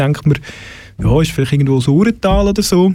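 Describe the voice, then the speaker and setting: Lively in intonation, a man with an unremarkable speaking voice talks at a fairly high pitch. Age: 40s. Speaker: radio host. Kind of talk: casual chat. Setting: studio.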